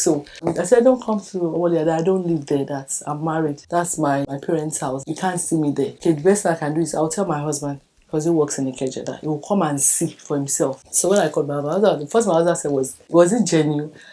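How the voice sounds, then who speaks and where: A woman with a Nigerian accent speaks at a very fast pace, with hardly any pauses. Her pitch is very deep and low, with ordinary pitch variation. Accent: Nigerian (Yoruba) English. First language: Yoruba. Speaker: birthday documentary subject. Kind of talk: personal testimony.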